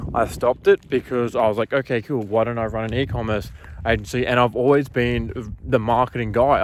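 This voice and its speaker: A man with an Australian accent speaks at a medium pitch and a moderate pace. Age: 20s. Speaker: marketing agency owner. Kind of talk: casual talking-head monologue. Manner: casual, filler-heavy.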